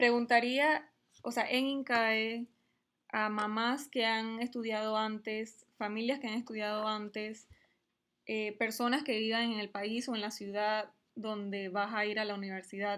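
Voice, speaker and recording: A woman's fairly high-pitched voice in a flat monotone. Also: fairly slow pace, very clean recording, silent background. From Panama. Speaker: MBA student and mother. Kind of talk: interview.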